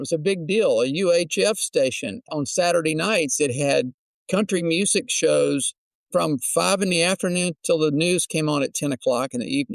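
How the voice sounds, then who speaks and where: A man with an American accent talks at a moderate pace and a high pitch. The sound is dry and close, with no echo. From Texas, Houston. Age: 70s. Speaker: singer-songwriter. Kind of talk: interview.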